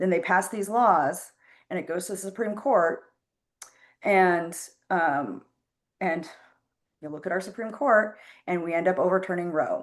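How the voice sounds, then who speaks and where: At a moderate pace, a woman speaks in a medium pitch with ordinary pitch variation. Her long, frequent pauses stand out against a quiet background. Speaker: political activist. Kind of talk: casual chat. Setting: video call. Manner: loud, impassioned.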